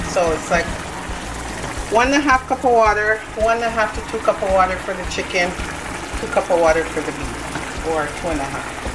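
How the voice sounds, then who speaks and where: The speech comes with long, frequent pauses against loud background noise. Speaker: home cook vlogger. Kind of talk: casual cooking tutorial. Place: kitchen. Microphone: phone near.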